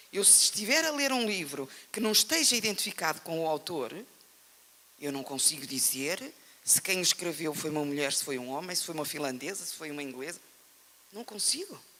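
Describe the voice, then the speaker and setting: The speaker has an animated tone and a European Portuguese accent. Long, frequent pauses break up the speech. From Portugal. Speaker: writer, panel speaker. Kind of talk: panel discussion.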